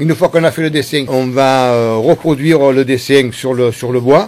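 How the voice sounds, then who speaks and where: His pitch fairly high for a man, he talks at a fairly slow pace with fairly even intonation. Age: 60s. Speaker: wood sculptor, former cabinetmaker. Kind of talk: interview. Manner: halting, many hesitations.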